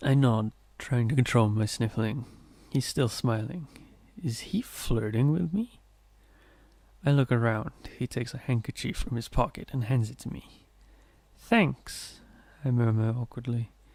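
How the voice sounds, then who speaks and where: Soft-spoken and somewhat breathy, the voice moves at a fairly slow pace with ordinary pitch variation and long, frequent pauses. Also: man, medium pitch for a man. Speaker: ASMR reader. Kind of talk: soft-spoken ASMR story reading. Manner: soft-spoken, quiet.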